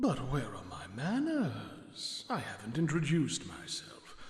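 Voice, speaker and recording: A put-on character voice in a middle pitch takes a pompous, theatrical tone at a fairly slow pace, with clear echo. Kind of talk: camp aristocratic villain. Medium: video game.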